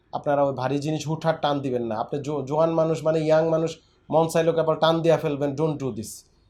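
A man talks with an ordinary speaking voice, at a fairly high pitch and with fairly even intonation. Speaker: physiotherapist doctor. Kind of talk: patient interview and health advice.

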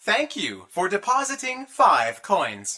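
Someone uses a put-on character voice at a middle pitch and a fairly slow pace.

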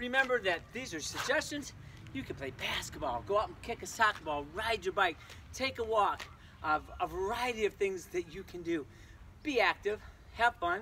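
A raised, projected voice moves at a moderate pace with very wide pitch swings and big swings in loudness. The sound is dry with no echo, over light background noise. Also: man. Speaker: physical education teacher. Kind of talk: tutorial. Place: street. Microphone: camera far.

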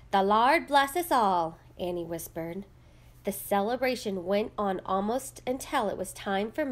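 Simple, plain reading aloud

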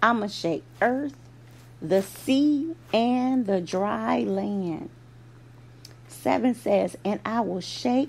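The voice moves through very wide pitch swings at a very slow pace. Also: woman. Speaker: preacher. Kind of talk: fervent prayer. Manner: earnest, fervent, rhythmic.

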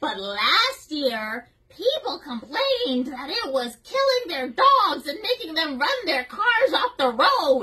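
A woman's put-on character voice, high-pitched, at a fairly slow pace with very wide pitch swings. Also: hardly any pauses. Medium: role play.

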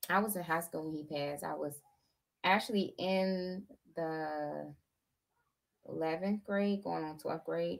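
A woman's voice against a quiet background. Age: 30s. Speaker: YouTuber. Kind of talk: casual livestream chat. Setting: home livestream with green screen. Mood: earnest, personal. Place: home room. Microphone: webcam.

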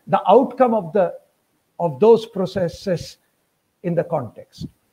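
A man talks with a Bengali accent. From Bengal, India. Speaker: university professor of history. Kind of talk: academic lecture. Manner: formal, measured. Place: home room. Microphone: webcam.

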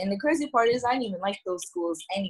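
A woman speaks with an American accent and a somewhat breathy voice. The background is quiet. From New Jersey. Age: 20s. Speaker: university student. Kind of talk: casual chat. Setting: video call. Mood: candid, reflective. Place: home room. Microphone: video call.

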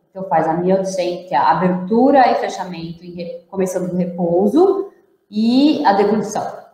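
With audible room echo, a woman speaks at a fairly slow pace and ordinary pitch variation. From Brazil. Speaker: interpreter and host translating the talk; host translating the talk. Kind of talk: live lecture with interpreting. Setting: online live stream. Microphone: webcam.

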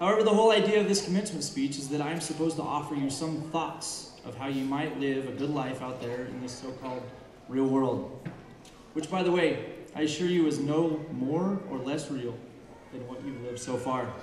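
Audible room echo and light background noise surround a man's voice. He speaks fairly quickly with ordinary pitch variation. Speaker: speaker. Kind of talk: commencement speech. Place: stage. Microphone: podium.

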